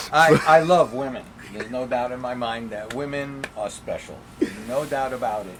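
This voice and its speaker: Music in the background accompanies a man with a New York accent who speaks at a moderate pace and a medium pitch, with ordinary pitch variation and big swings in loudness. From New York, the Bronx. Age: 70s. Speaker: podcast guest, Holocaust survivor's son. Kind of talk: casual interview. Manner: halting.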